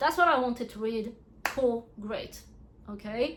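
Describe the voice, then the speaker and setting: In a French accent, a woman speaks at a moderate pace, her fairly high pitch showing ordinary variation. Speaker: book reviewer. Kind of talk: casual review vlog. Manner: animated, casual.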